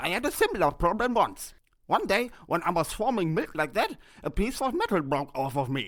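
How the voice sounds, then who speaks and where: A put-on character voice at a middle pitch, full of very wide pitch swings. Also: moderate pace. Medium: read story. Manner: warm, encouraging.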